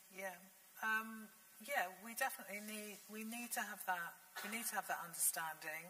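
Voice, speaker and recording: Someone with a British accent speaks against noticeable background noise. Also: woman, medium pitch for a woman, fairly even intonation, moderate pace. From England. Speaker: literature lecturer and writer; literature lecturer. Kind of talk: panel discussion. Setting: stage with audience. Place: hall.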